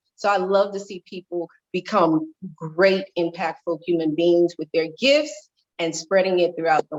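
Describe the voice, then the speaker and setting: A woman with a plain, everyday voice speaks at a moderate pace in a fairly low pitch, with ordinary pitch variation. Her loudness swings widely, and the sound is dry and close with no echo. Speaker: life and wellness coach, motivational speaker. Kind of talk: interview.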